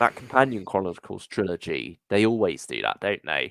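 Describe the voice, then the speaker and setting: A man speaks at a moderate pace with a fairly low pitch and vocal fry. The sound is dry and close, with no echo. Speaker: podcast co-host. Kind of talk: casual chat.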